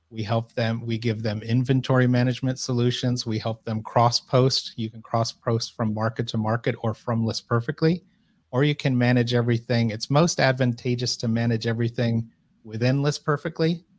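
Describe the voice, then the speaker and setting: A man with an American accent has a plain, everyday voice at medium pitch, speaking at a moderate pace with fairly even intonation. The recording is very clean with a silent background and a dry, close sound with no echo. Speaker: e-commerce content director. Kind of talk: interview.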